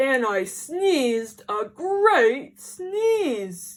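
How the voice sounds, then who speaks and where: A woman puts on a character voice. Her pitch sits high and swings very widely. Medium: read story. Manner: confiding, wry, self-justifying.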